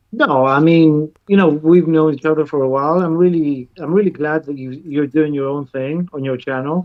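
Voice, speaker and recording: With a Greek accent, a man speaks in a fairly high voice, with hardly any pauses. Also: fairly even intonation, moderate pace. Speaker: music producer. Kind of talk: casual chat. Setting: live stream. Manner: halting.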